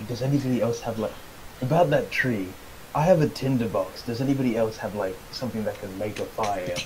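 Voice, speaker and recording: Over noticeable background noise, a man whispers breathily at a fairly quick pace in a put-on character voice. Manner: whispering.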